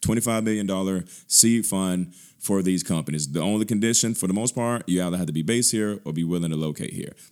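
A man with a very deep, low voice talks at a very fast pace, his pitch varying in an ordinary way, on a very clean recording with a silent background. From Birmingham, Alabama (US South). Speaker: tech nonprofit executive. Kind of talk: interview conversation.

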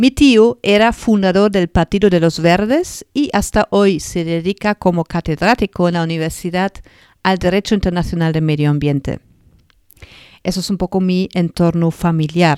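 In a very clean recording with a silent background and a dry, close sound with no echo, a woman with a German accent speaks at a moderate pace, her pitch fairly low with ordinary variation. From northern Germany, Lower Saxony. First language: German (speaking Spanish). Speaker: podcast host, animal therapist. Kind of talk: personal storytelling monologue. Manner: halting.

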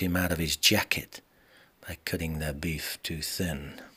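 In a very clean recording with a silent background, a man uses a theatrical tone at a fairly slow pace. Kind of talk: spoken-word poem performance, rhythmic rhyming verse. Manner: rhythmic, punchy, theatrical delivery with gritty noir swagger and emphasized rhymes.

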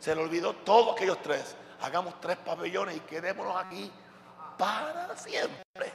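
Over noticeable background noise, a man speaks at a moderate pace in an animated tone. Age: 60s. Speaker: pastor. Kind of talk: sermon.

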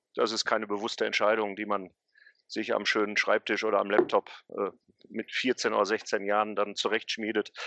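The sound is dry and close with no echo as a man with a fairly low pitch talks at a fairly quick pace. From Ruhr area, Gelsenkirchen. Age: 40s. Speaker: football historian and city tour guide. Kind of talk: interview.

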